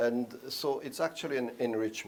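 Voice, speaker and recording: Speaking with a French accent, a man uses lively intonation at a fairly slow pace. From Geneva, French-speaking Switzerland. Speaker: ambassador. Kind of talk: interview.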